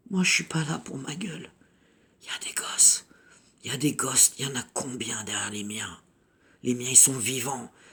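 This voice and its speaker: A woman with a very deep, low pitch talks at a fairly slow pace with long, frequent pauses. Her intonation is lively and her loudness swings widely, with noticeable background noise behind her. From Paris suburbs, France (Sarcelles, Val-d'Oise). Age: 50s. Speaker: activist mother. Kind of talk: impassioned video message. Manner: animated.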